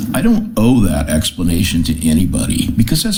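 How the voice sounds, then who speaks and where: A man's pitch swings very widely. Room echo and background noise can both be heard clearly. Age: 60s. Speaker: political commentary vlogger. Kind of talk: angry monologue rant. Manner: heated, animated.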